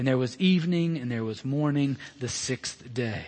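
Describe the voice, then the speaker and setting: The speech comes in an Alabama accent at a fairly slow pace. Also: man. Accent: Southern US (Alabama). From US South, Birmingham, Alabama. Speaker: pastor. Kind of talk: sermon. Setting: church. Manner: halting, many fillers.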